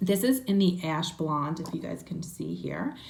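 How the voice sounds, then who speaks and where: Someone speaks with a New Jersey accent and ordinary pitch variation. Audible room echo surrounds the voice. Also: woman. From New Jersey, Trenton. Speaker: beauty vlogger. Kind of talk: makeup tutorial. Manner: chatty, many fillers.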